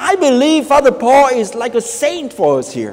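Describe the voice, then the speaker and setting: A man at a fairly slow pace. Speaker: priest. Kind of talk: sermon. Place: church.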